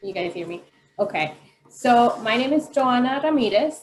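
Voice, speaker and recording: With a Spanish accent, a woman speaks at a moderate pace using lively intonation. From Colombia, Medellin. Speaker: parent advocate and care coordinator. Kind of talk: panel self-introduction.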